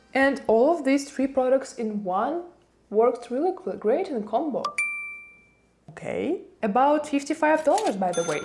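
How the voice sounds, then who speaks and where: Speaking with a non-native accent, a woman uses a high pitch and very wide pitch swings at a moderate pace, with long, frequent pauses. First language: not English. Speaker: beauty content creator. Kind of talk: unboxing review.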